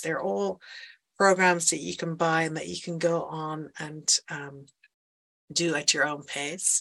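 A woman with a Dutch accent at a fairly low pitch and a very slow pace, over a quiet background. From Netherlands. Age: 50s. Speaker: life coach. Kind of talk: interview.

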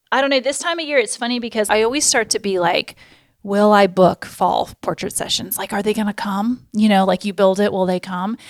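In a very clean recording with a silent background and a dry, close sound with no echo, a woman with a normal speaking voice talks at a fairly quick pace with ordinary pitch variation. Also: fairly high pitch for a woman. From Florida. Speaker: photographer and podcast host. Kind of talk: casual chat.

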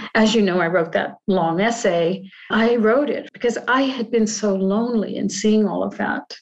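Using a normal speaking voice, a woman talks at a moderate pace with hardly any pauses, her fairly high pitch showing ordinary variation. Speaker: podcast host and group facilitator. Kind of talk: guided group discussion on Zoom, reflective talk. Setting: video call. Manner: reflective, calm, thoughtful.

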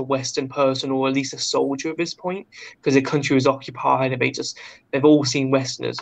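Speaking with a British accent, a man has a fairly high pitch. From Britain. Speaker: guest, travel YouTuber.

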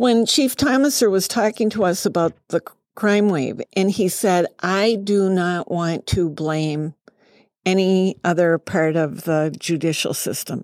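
Recorded with a dry, close sound and no echo, a woman uses a normal speaking voice at medium pitch, with ordinary pitch variation and a fairly slow pace. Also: very clean recording, silent background. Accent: American. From Massachusetts, New England. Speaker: city council member. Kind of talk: podcast interview. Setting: studio.

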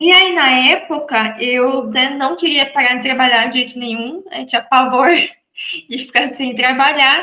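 A woman at high pitch, with hardly any pauses. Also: ordinary pitch variation, fairly slow pace. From Brazil, Santa Catarina. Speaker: real estate lawyer. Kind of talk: interview guest.

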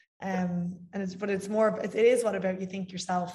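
Speaking very fast, a woman has a medium pitch and an Irish accent. Her tone is dark and mellow, and somewhat breathy. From Ireland. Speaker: fitness coach. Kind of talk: casual interview chat.

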